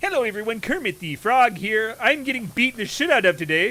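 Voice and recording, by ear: Putting on a character voice, a man speaks high-pitched at a fairly quick pace.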